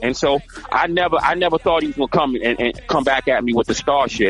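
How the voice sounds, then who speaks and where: With music in the background, a man speaks at a very fast pace with ordinary pitch variation. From Baltimore, Maryland. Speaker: rapper and actor. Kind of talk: podcast interview. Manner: casual, repetitive with false starts.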